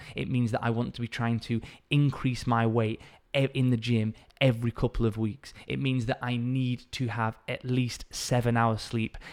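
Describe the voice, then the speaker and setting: A man with a northern English accent speaks at a moderate pace in a monotone, flat intonation. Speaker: fitness coach and podcast host. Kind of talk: solo educational talk.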